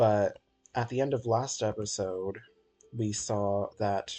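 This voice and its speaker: A man's somewhat breathy voice at medium pitch, at a very slow pace. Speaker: gaming youtuber. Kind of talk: gameplay commentary. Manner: casual, filler-heavy.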